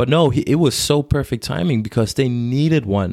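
A man with an American accent, a normal speaking voice, a fairly quick pace and ordinary pitch variation. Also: very clean recording, silent background. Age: 20s. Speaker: podcast host and commercial pilot. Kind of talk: casual chat.

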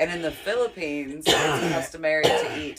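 Amid noticeable background noise, a woman speaks at a very deep, low pitch with a Southern US accent. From Alabama. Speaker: podcast co-host. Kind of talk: casual chat.

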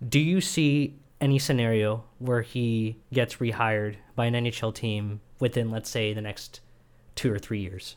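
At a medium pitch, a man speaks at a fairly slow pace in an unremarkable speaking voice with ordinary pitch variation. The recording is very clean, with a silent background. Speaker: student podcast co-host. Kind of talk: interview.

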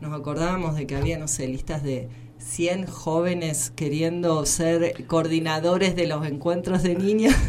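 A woman with a Buenos Aires accent talks at a fairly slow pace, her pitch very deep and low, her intonation fairly even. Audible room echo and noticeable background noise surround her voice. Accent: sounds like Buenos Aires. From Argentina, southern Santa Fe province. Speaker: social worker and activist. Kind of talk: interview.

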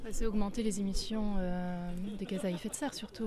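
At a moderate pace, a woman talks at medium pitch over noticeable background noise. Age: 30s. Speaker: climate activist. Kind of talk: interview at a protest.

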